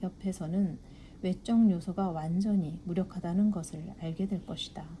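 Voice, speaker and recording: At a moderate pace, a woman speaks at medium pitch in a dark, mellow tone that is somewhat breathy. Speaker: book reader. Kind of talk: reading aloud.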